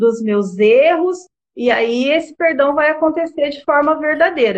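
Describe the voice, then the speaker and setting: Lively intonation at a fairly slow pace. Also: woman. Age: 40s. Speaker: marriage therapist. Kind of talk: interview on a live stream.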